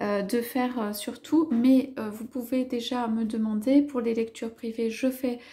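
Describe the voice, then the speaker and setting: A soft-spoken woman with a high pitch and a dark, mellow tone talks at a fairly slow pace, her intonation fairly even and hardly any pauses breaking her speech. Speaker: tarot card reader. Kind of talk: tarot reading. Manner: halting, many hesitations.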